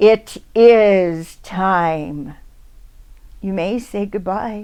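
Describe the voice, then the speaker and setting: In a loud, booming, put-on character voice, a woman speaks very slowly at a medium pitch. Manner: booming, commanding.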